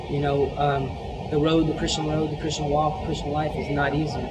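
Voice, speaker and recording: With music in the background, a man talks at a fairly quick pace. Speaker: speaker. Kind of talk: sermon. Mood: earnest, warm. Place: church.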